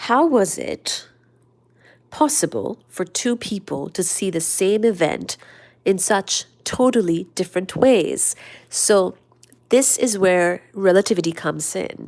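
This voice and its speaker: At a very slow pace, a woman speaks in a soothing, calm tone at medium pitch, in a very clean recording with a silent background. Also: lively intonation. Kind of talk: casual study-along talk about physics, reading from books.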